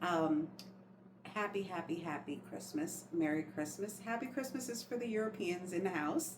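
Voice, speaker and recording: The speaker has an American accent and lively intonation at a moderate pace. Noticeable background noise and audible room echo come through. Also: woman, medium pitch for a woman. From New York, Long Island. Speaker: lifestyle vlogger. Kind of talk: casual chat. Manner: animated.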